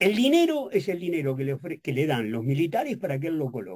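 Speaking at a moderate pace against a quiet background, a man uses a dark, mellow, somewhat breathy voice with very wide pitch swings. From Uruguay. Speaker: journalist and professor; journalist, professor. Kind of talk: radio interview. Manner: halting, many fillers. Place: studio. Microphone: studio mic.

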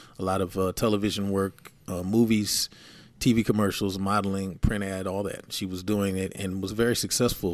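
In a very clean recording with a silent background, a man with an American accent speaks at a fairly low pitch. His pace is moderate and his intonation is monotone and flat. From San Francisco Bay Area, California. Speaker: music producer. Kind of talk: casual chat.

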